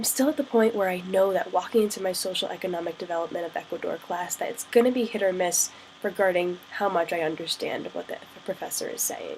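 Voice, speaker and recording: Over noticeable background noise, a woman with an American accent speaks at a very fast pace, with a medium pitch and ordinary pitch variation. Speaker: study-abroad student. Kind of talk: casual vlog to camera.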